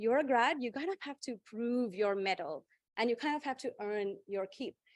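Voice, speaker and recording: A woman with a high pitch speaks in an animated tone with very wide pitch swings. The background is quiet. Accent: strong Indian. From India. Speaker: panelist, corporate professional. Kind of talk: panel discussion.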